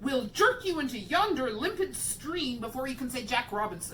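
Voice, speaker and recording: Over clear background noise, a woman puts on a character voice at a high pitch and a moderate pace. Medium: read story. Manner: scornful, formal.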